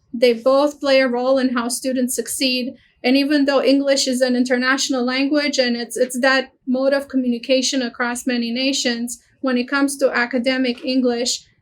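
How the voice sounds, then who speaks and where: Speaking at a fairly quick pace with a Romanian accent, a woman uses a high pitch and monotone, flat intonation. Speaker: university international office director. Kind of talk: webinar presentation.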